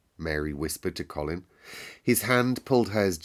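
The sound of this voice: Intonation stays lively throughout an unforced reading voice.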